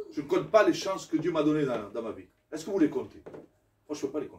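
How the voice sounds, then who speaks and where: Moderately paced, a man's speech moves along. His pitch swings very widely. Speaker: pastor. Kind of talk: sermon. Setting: church. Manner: loud; animated.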